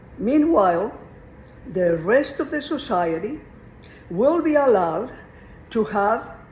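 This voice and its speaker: A woman with a Mexican accent, fairly high pitch, very wide pitch swings, long and frequent pauses, and audible room echo. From Mexico. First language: Spanish. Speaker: retired teacher. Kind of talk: informal lecture on philosophy. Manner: conversational, meandering.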